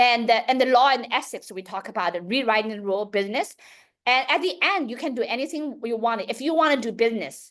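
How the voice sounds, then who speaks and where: Over a quiet background, a loud, high-pitched woman speaks at a very fast pace with lively intonation. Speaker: education company founder. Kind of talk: public talk.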